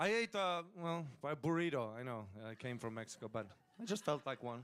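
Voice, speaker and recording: Speaking with a non-native accent, a man's voice moves in very wide pitch swings. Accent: foreign. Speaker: comedian. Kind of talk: casual chat.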